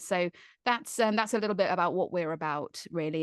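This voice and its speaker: With a southern English accent, a woman speaks with ordinary pitch variation. The sound is dry and close with no echo, the background quiet. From Surrey, England. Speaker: zookeeper and wildlife comedienne. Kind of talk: interview answer.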